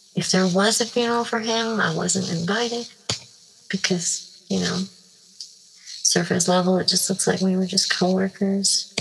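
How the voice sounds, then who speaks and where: The speech moves at a fairly slow pace with fairly even intonation. Noticeable background noise can be heard. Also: woman. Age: 20s. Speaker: anonymous caller sharing a secret. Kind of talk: confessional voicemail. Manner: halting, hesitant.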